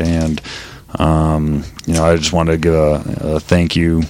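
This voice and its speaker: Over noticeable background noise, a man with an American accent speaks in a very deep, low pitch. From Oklahoma; Colorado. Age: 30s. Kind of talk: casual chat.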